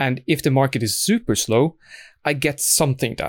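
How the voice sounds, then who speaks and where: The speech comes at a moderate pace in a Norwegian accent. The recording is very clean with a silent background. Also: man. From Norway. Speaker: blacksmith and podcast co-host. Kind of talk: casual chat.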